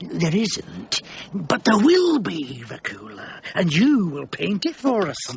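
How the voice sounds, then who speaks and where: In a put-on character voice, the speaker moves along at a fairly slow pace. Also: man, high pitch for a man. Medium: audio drama.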